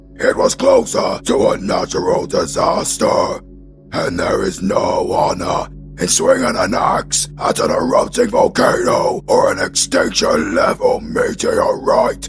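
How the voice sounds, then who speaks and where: A put-on, raspy character voice from a man at a fairly slow pace, with clear music playing behind him. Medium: audio drama.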